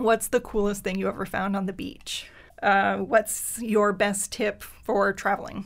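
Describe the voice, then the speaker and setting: Using vocal fry, a woman speaks at a fairly slow pace with fairly even intonation. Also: medium pitch for a woman. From Acadian Nova Scotia (Pubnico, Yarmouth County). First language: French. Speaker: business owner. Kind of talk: casual chat. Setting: studio.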